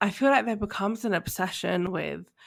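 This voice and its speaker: With a southern English accent, a woman keeps a fairly even intonation on a very clean recording with a silent background. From London, England. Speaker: podcast host. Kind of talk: interview conversation.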